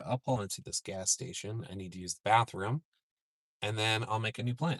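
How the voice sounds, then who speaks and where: At a fairly quick pace, a man with an American accent talks at medium pitch with ordinary pitch variation. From Minnesota. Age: 40s. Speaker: storm chaser. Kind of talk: live stream commentary.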